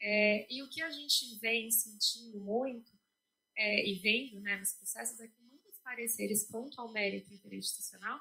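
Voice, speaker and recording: A woman's fairly high voice at a moderate pace, fairly even intonation and big swings in loudness. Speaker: legal office staff presenter. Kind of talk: institutional presentation. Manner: hesitant, many fillers.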